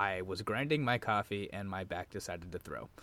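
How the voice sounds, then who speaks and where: An unremarkable speaking voice from a man at a moderate pace, on a very clean recording with a silent background. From Arizona. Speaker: podcast co-host. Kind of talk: casual chat.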